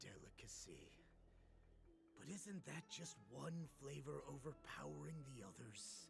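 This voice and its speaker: A man puts on a character voice at a fairly slow pace, with clear background noise behind him. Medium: video game. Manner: menacing, contemptuous.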